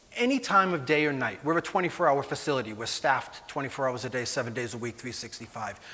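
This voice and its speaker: A man with a Boston accent, talking at a fairly quick pace. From Boston, Massachusetts. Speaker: animal welfare executive. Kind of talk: conference presentation. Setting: conference stage with audience. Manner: hesitant, many fillers.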